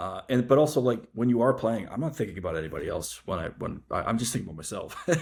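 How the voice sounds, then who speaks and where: On a very clean recording with a silent background, a somewhat breathy man speaks very fast with lively intonation. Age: 40s. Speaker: podcast host and golf novelist. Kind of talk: casual interview chat.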